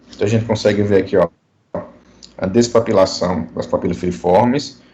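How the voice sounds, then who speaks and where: A man rattles along at a very fast pace, his fairly low voice varying in pitch in an ordinary way. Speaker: dentistry professor. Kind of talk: online lecture.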